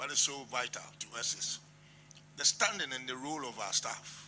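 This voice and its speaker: Amid noticeable background noise, a man speaks in a medium pitch with long, frequent pauses. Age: 80s+. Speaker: traditional chief. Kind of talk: formal address. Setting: meeting at president's office.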